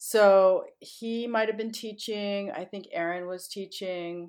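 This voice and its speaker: A woman with a plain, everyday voice speaks at a fairly slow pace and a medium pitch, with ordinary pitch variation, in a very clean recording with a silent background. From US Northeast (Connecticut). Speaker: dancer and choreographer. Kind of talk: interview.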